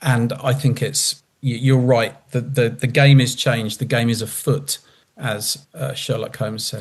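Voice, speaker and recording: A man of medium pitch talks somewhat breathily at a fairly slow pace. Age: 60s. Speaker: customer panelist, data leader. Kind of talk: panel discussion. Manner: animated.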